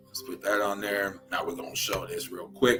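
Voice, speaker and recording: Someone speaks in a Louisiana accent as music plays in the background. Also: man. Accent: Southern, Louisiana. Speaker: livestream host.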